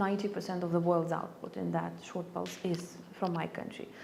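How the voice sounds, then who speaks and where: A woman with a Lithuanian accent speaks at medium pitch and a moderate pace, with audible room echo. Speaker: ambassador. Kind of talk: interview. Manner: halting, many fillers.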